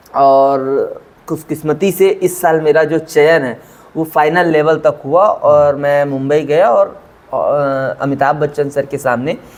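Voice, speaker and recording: A fairly high-pitched man with fairly even intonation amid noticeable background noise. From Chhattisgarh, India (Raigarh). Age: 30s. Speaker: quiz show contestant, government employee. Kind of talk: interview. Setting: sitting face to face.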